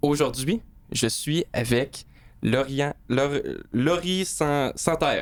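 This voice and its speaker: A man with a Quebec accent, fairly high pitch, ordinary pitch variation, a very slow pace and long, frequent pauses. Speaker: podcast host and tattoo artist. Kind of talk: casual interview chat.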